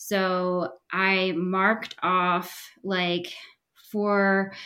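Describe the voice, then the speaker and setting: A woman speaks with an American accent. Her pitch sits in the medium range. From Pennsylvania. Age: 30s. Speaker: triathlete guest. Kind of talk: casual interview. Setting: video call.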